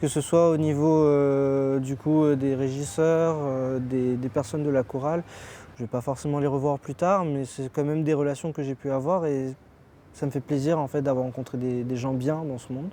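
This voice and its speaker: This man has a plain, everyday voice, fairly high in pitch, with fairly even intonation at a moderate pace. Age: 20s. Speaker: amateur choir singer, psychology student. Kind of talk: interview.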